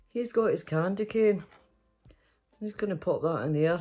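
Against a quiet background, a woman with a dark, mellow tone talks at a fairly slow pace with lively intonation. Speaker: storytelling vlogger. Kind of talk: casual vlog chat. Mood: playful, giggly. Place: home room. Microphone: phone near.

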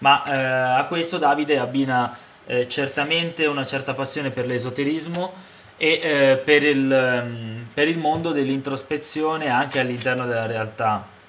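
The intonation is fairly even. Light background noise can be heard. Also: man, fairly slow pace. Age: 20s. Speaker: book reviewer and poet; book reviewer, poet. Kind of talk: book review monologue. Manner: hesitant, many fillers. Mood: calm, reflective. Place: home room. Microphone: webcam.

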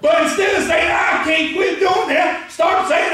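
Shouting at an extremely high pitch and a fairly slow pace, a man is heard with strong room echo and light background noise. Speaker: preacher, pastor. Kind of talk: spirit-filled sermon preaching to a congregation. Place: church. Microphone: camera far.

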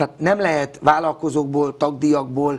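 This man's delivery is fairly quick, and his intonation stays fairly even. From Hungary. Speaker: youth football coach. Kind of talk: interview. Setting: studio. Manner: outspoken; halting. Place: studio. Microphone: lapel.

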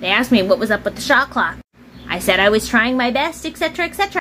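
Music plays in the background. Over it, a woman speaks in a fairly high voice. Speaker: vlogger. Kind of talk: casual vlog monologue. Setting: at home. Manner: chatty, storytelling.

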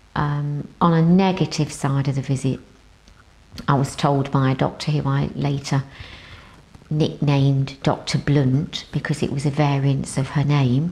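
At a fairly slow pace, a woman talks in a very deep, low voice, her loudness very even and her intonation flat and monotone. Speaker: breast cancer survivor. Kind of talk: interview testimony. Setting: studio. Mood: reflective, earnest recollection. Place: studio. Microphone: lapel.

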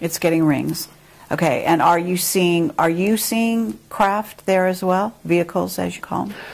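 A woman talks at a fairly slow pace in a fairly low pitch, with ordinary pitch variation. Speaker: interviewer. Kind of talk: interview. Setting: video interview. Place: home room.

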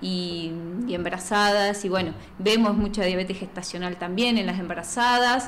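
A woman speaks at a moderate pace with fairly even intonation over light background noise. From Plottier, Neuquén, Argentina; Neuquén, Argentina. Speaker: nutritionist; guest. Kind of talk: casual interview; interview answer. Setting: studio. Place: studio. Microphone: studio mic.

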